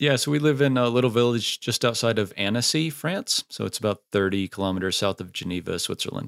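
The pace is very fast. Intonation stays lively throughout. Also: man, medium pitch for a man, hardly any pauses. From United States. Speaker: software founder, podcaster. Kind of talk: casual chat.

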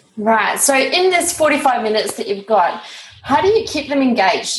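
A woman with a somewhat breathy voice. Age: 30s. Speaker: podcast host. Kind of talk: scripted intro; interview.

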